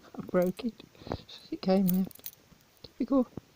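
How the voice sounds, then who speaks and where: Speaking at a medium pitch with ordinary pitch variation, a woman is heard in a dry, close recording with no echo but noticeable background noise. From English Midlands. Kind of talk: unboxing video talk to camera.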